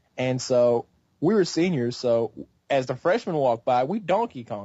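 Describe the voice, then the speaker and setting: A man talks in an unremarkable speaking voice at medium pitch. His intonation is lively and his pace moderate. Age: 20s. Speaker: gaming YouTuber. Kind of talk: casual chat.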